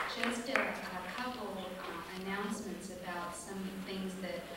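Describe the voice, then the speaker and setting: A woman talks at a moderate pace and medium pitch. Strong room echo and noticeable background noise surround her voice. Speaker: event host giving a welcome. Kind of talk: event welcome and announcements. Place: hall.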